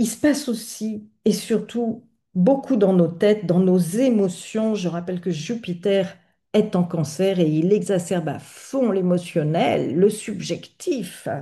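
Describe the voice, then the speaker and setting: The voice is dark and mellow, somewhat breathy, and very slow. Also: woman, medium pitch for a woman, ordinary pitch variation. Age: 60s. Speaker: astrologer, channel host. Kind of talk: video monologue on astrology. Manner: hesitant, many fillers.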